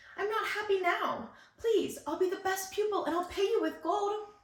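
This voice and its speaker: A woman puts on a squeaky character voice at an extremely high pitch, with fairly even intonation, a moderate pace and slight echo. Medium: read story.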